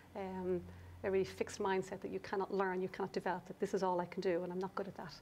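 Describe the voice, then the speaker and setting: A woman talks very fast in an Irish accent at a medium pitch. Her delivery is a flat monotone with vocal fry. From Ireland. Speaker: business coach. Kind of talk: interview discussion. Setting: studio.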